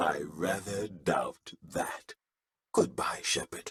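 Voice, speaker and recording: A man's put-on character voice, fairly low in pitch and very slow in pace. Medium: video game.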